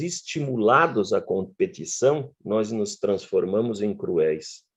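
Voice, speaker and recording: A man at a very slow pace with very wide pitch swings, against a quiet background. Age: 60s. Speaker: professor. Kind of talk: lecture.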